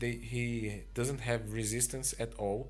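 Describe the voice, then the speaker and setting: A man speaks with a non-native accent, and the room echo is audible. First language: not English. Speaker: mobile game video creator. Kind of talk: game review commentary. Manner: halting.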